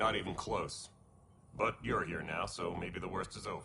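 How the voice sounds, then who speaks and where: This is a put-on character voice with a raspy texture. It moves along at a moderate pace. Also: man. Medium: video game. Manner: grave.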